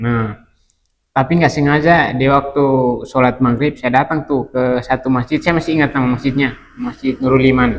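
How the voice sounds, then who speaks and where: A man with a Kupang accent, medium pitch and monotone, flat intonation, at a moderate pace. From East Nusa Tenggara, Kupang. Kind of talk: testimony.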